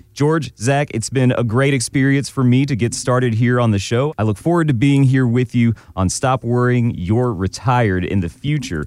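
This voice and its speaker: At a moderate pace, a man talks in an unremarkable speaking voice at a medium pitch with ordinary pitch variation. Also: very even loudness. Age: 30s. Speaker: radio co-host. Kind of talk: casual chat.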